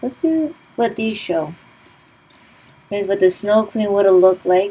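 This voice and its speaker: Noticeable background noise sits behind a woman speaking at medium pitch and a moderate pace with lively intonation. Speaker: gaming let's play commentator. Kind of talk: game walkthrough commentary and review. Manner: casual, conversational.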